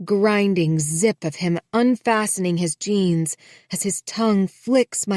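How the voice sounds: Ordinary pitch variation in a natural reading voice, quiet background behind it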